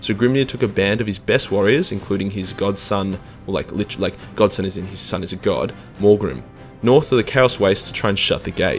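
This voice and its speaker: Over music in the background, a man with an Australian accent talks at a fairly quick pace in a fairly low pitch. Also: ordinary pitch variation. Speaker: YouTube lore narrator. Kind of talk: comedic lore explainer, profane. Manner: crude, casual, irreverent.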